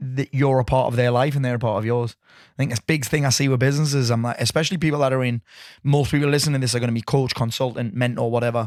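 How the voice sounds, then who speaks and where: In a Geordie accent, the speaker talks at a very fast pace in an animated tone, the sound dry and close with no echo. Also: man. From northeast England, Newcastle area. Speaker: business coach. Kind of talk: casual chat.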